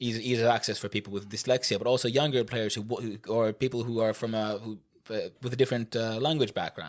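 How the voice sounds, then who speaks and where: Here a man talks in a Swedish accent at a medium pitch. His pace is fairly quick, and the recording is very clean with a silent background. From Finland (Finland-Swedish). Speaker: board game podcast co-host. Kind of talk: casual chat.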